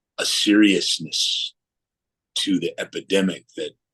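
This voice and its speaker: At a very slow pace, a man with an American accent speaks in a dry, close sound with no echo. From US Northern Plains (reservation in Idaho). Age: old. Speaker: powwow announcer. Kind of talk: interview. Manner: halting, repeats words.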